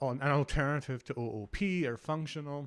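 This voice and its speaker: A man's medium-pitched voice with a Glasgow accent and lively intonation, in a dry, close sound with no echo and a very clean recording with a silent background. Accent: Scottish (Glasgow). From Scotland, Glasgow. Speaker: developer advocate. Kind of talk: conference talk.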